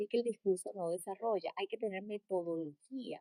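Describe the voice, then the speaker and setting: A woman with a Colombian coastal accent at a very fast pace, ordinary pitch variation, and a dry, close sound with no echo. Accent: Colombian coastal (costeño). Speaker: leadership coach and trainer. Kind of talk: interview.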